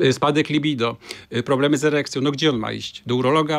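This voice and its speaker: A man is talking. His pace is very fast. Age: 60s. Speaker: gynecologist; guest. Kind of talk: interview. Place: studio. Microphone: studio mic.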